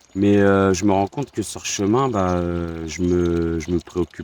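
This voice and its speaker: A man's voice sits very deep and low in pitch, with fairly even intonation. He speaks at a very slow pace. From Normandy, France (Le Havre). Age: 40s. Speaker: pilgrim, army veteran. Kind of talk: interview testimony. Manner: halting.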